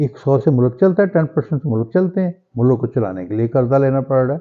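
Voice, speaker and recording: A man at a medium pitch. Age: 60s. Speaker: political commentator vlogger. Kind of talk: opinion vlog monologue. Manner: impassioned, rhetorical.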